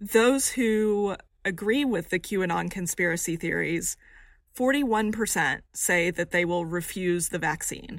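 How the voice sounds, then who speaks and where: A woman has an ordinary speaking voice at a medium pitch with ordinary pitch variation. The recording is very clean with a silent background. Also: fairly slow pace. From rural Texas. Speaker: survey researcher. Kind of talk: interview.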